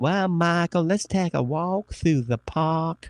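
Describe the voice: A man's put-on character voice in a Southern US accent, drawling at a fairly slow pace with a high pitch. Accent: Southern American.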